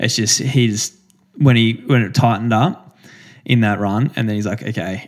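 At a moderate pace, a man with an Australian accent speaks in a medium pitch with fairly even intonation. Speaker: professional distance runner, podcast co-host. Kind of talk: casual chat.

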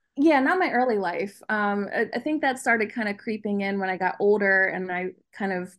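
A woman talks at a fairly quick pace with medium pitch and ordinary pitch variation against a quiet background. It is an ordinary speaking voice. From central Pennsylvania, US. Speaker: artist. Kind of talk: interview.

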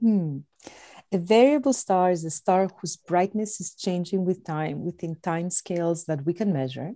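Recorded dry and close with no echo, a woman with a Greek accent speaks in a dark, mellow tone at a fairly low pitch with ordinary pitch variation. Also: moderate pace. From Greece. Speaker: astronomer, organization director. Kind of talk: interview.

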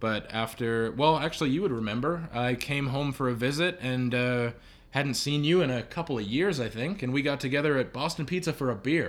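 A man with a Canadian accent has a plain, everyday voice at medium pitch with ordinary pitch variation. He moves at a fairly quick pace in a very clean recording with a silent background. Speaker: podcast guest, roommate of host. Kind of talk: casual chat. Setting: at home.

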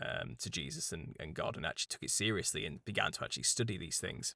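A man with a British accent talks at a very fast pace with vocal fry. The background is quiet. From England. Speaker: conspiracy podcast host. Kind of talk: interview conversation.

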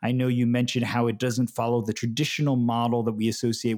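A man with an American accent and medium pitch talks at a very fast pace in a very clean recording with a silent background. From New York City. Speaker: podcast host, media historian. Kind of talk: interview.

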